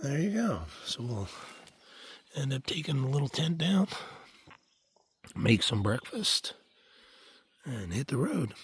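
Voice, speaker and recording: The speaker's voice shows vocal fry and very wide pitch swings, broken by long, frequent pauses. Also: man, fairly high pitch for a man. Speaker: hiker. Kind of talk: casual talk to camera. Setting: outdoors.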